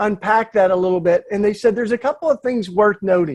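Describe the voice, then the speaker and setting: This man has a Southern accent. His pitch is high. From US South, East Tennessee. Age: 40s. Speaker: activist and speaker. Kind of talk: talk at a church panel. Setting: church event.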